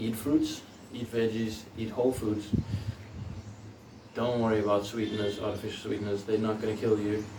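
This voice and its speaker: Pausing long and often, a man talks at a moderate pace in a fairly low pitch with a monotone, flat intonation, against noticeable background noise and audible room echo. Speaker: personal trainer and bodybuilder. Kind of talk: tutorial. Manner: casual.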